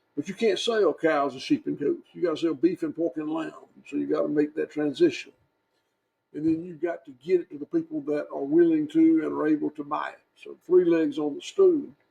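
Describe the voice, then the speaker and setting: A man with a Southern US accent speaks at a fairly quick pace, his loudness swinging widely. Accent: Southern US (Georgia). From US South. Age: 60s. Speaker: farmer. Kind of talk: interview. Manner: halting.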